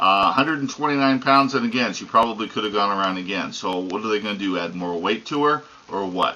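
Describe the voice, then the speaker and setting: At a very fast pace, a man speaks with a fairly low pitch and ordinary pitch variation. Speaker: horse racing commentator. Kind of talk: casual opinionated commentary to camera. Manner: conversational, emphatic.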